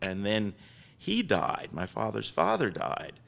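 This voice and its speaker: Speaking at a moderate pace, a man talks in a fairly low pitch. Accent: Philadelphia. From Philadelphia area, Delaware County. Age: 70s. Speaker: business founder. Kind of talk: interview storytelling.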